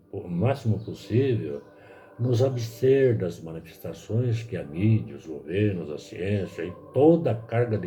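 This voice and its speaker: Music plays in the background as a man talks at a very slow pace with lively intonation, and the room echo is audible. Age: 70s. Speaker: lay preacher. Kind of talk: sermon.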